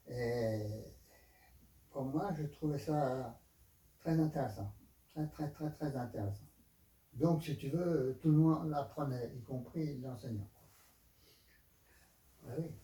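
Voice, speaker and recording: A man's dark, mellow, somewhat breathy voice at a fairly high pitch, with ordinary pitch variation, a very slow pace, and long, frequent pauses. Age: 80s+. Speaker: aikido teacher. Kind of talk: interview answer.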